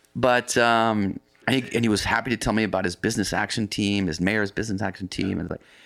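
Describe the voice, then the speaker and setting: Recorded very cleanly against a silent background, a man with an American accent talks in a plain, everyday voice at a fairly quick pace, his fairly low pitch showing ordinary variation. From US Pacific Northwest, near Seattle. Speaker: coffee company founder and explorer. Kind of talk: interview, telling life story.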